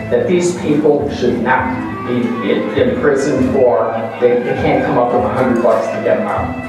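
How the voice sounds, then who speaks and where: Clear music and strong room echo accompany a man talking at a fairly slow pace. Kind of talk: speech introducing an honoree. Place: hall.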